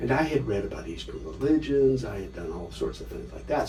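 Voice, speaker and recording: There is noticeable background noise and audible room echo. A man with an American accent talks at a very fast pace. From US West Coast, Los Angeles. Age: 60s. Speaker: scholar and author. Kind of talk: interview.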